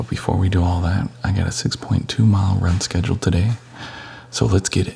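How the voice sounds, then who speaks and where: The pace is fairly quick. Noticeable background noise runs behind the speech. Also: man, very deep, low pitch for a man, ordinary pitch variation. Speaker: wedding photographer and vlogger. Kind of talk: casual vlog.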